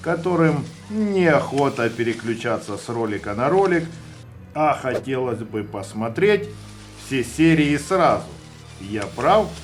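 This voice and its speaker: With music in the background, a man talks at a very slow pace, his pitch swinging very widely. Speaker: horror storyteller who sculpts clay figures. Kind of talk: scary story narration with ASMR sounds.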